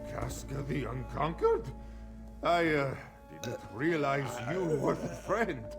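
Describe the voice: A man's put-on character voice, fairly high in pitch with vocal fry, lively intonation and a slow pace, over clear background music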